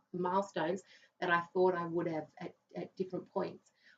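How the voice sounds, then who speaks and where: A woman with a fairly low voice speaks at a moderate pace. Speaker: financial adviser and business owner. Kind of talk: interview. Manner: loud; relaxed.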